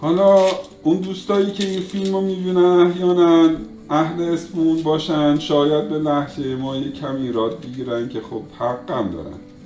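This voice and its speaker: Fairly high for a man, his voice moves at a moderate pace with ordinary pitch variation. Noticeable background noise and audible room echo surround him. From Isfahan, Iran. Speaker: cooking show host. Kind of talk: cooking tutorial. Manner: casual, chatty.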